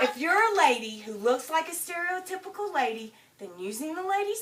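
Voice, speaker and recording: With very wide pitch swings, the woman moves along at a fairly quick pace. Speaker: storyteller. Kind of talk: storytelling performance.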